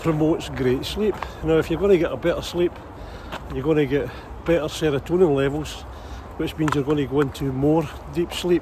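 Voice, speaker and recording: A man speaks at a fairly high pitch with ordinary pitch variation. Noticeable background noise can be heard. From Ayrshire, Scotland. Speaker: hypnotherapist. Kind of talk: casual talk to camera, outdoors. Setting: outdoors.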